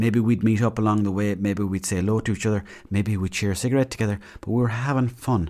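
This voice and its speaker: In a west of Ireland accent, a man speaks very fast at a fairly low pitch with a dark, mellow tone and fairly even intonation, the recording very clean with a silent background. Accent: west of Ireland Irish. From Mayo, west of Ireland. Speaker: podcast host. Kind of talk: casual storytelling monologue.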